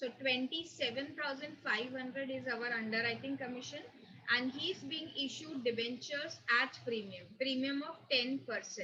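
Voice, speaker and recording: A woman projects her voice with a raised, high pitch. Her pitch varies in an ordinary way over light background noise. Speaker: accountancy teacher. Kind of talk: lecture. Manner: slow. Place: home room. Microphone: webcam.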